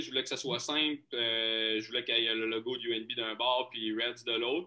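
This man's medium-pitched speech moves along at a fairly quick pace. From Quebec, Lac-Saint-Jean. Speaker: hockey goaltender. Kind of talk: interview. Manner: halting, many repetitions.

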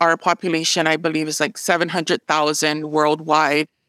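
A woman with a Hawaiian accent, fairly low-pitched with a bright, sharp tone, dry and close with no echo on a very clean recording with a silent background. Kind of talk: interview.

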